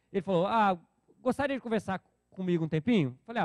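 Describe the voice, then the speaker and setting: Lively intonation and an animated tone carry this fairly quick delivery, recorded with a dry, close sound and no echo. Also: man. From Brazil, Espírito Santo (Vitória). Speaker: church small-groups trainer. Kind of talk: training talk to church leaders.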